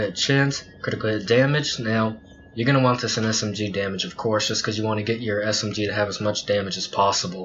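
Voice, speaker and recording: A man at a medium pitch and fairly quick pace, with noticeable background noise. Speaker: gaming youtuber. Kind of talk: tutorial. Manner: halting; casual.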